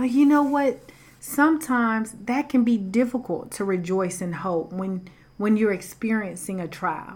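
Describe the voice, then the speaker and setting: With a Southern US accent, a woman speaks at a moderate pace in a somewhat breathy, fairly high voice with lively intonation. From US South. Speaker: podcast host. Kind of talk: inspirational faith talk. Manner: casual, conversational.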